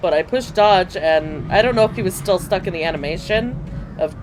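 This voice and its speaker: Moderate pace over music in the background. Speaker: gaming video creator. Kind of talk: let's play commentary. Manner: animated.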